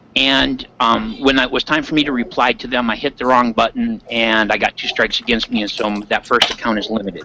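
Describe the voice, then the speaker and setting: Noticeable background noise accompanies a man with an American accent at medium pitch. He talks at a fairly quick pace with hardly any pauses. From Michigan Upper Peninsula. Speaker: Minecraft server player, YouTuber. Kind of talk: casual interview chat.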